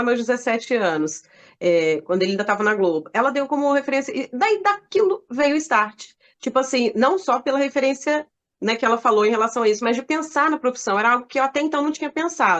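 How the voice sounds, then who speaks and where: This woman speaks at a fairly quick pace in a high voice with very wide swings in pitch. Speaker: journalist and radio announcer. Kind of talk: interview answer.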